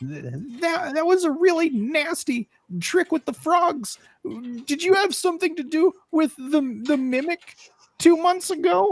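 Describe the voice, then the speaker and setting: Quiet and high-pitched, a put-on character voice moves at a fairly slow pace. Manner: whispering.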